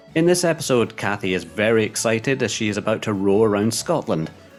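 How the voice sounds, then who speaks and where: A man's medium-pitched voice with lively intonation at a moderate pace, music in the background. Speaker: podcast presenter. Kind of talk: podcast hosting. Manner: soft-spoken.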